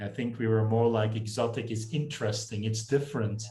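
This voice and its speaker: A man with a Dutch accent speaks at a moderate pace and medium pitch, somewhat breathy, with audible room echo. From northern Belgium (Flemish). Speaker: communications professor. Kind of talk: casual interview chat.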